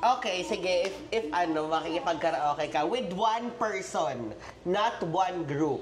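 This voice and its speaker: Speaking at a fairly slow pace, a woman uses a fairly low voice with lively intonation and very even loudness. Noticeable background noise and audible room echo fill the recording. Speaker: reaction video host. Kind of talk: casual chat. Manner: animated.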